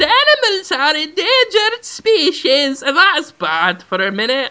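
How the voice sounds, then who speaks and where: Using a put-on character voice, a woman speaks high with very wide pitch swings. Her pace is moderate. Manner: brave, bold, dramatic.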